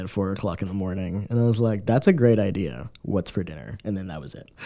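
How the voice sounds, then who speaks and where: A man speaks in a dark, mellow tone. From Miami. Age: 20s. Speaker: immigrant interviewee. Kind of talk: interview.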